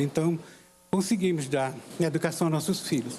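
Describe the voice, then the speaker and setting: The man has a high-pitched voice. He talks at a moderate pace. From Paraíba backlands, Brazil. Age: 60s. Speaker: call center employee. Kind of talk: personal testimony speech. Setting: inauguration ceremony with audience.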